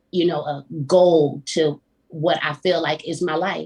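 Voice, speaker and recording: A woman speaks with a Southern US accent. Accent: Southern country twang. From Florida, US South. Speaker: singer-songwriter. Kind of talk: casual interview.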